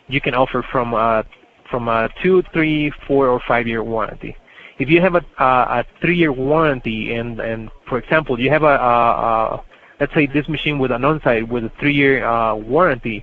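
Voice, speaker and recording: The voice belongs to a man at medium pitch. It shows ordinary pitch variation. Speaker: corporate trainer. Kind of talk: training webinar. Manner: fast; hesitant, many fillers.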